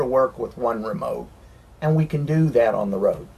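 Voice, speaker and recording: A man with a Southern US accent speaks at a moderate pace and medium pitch, his voice making very wide pitch swings. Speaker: RV renovation business owner. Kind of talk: interview.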